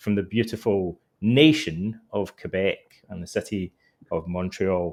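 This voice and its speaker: A man speaks with a Scottish accent. His pitch is fairly low. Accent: Scottish, noticeable. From Scotland. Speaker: author and psychotherapist. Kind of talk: interview.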